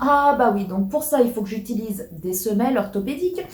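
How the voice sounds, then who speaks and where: Amid noticeable background noise and audible room echo, a woman's pitch swings very widely. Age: 30s. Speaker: YouTuber. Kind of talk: casual chat. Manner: hesitant, many fillers.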